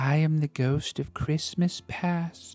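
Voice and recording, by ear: At a fairly slow pace, the speaker uses a put-on character voice pitched in the middle range.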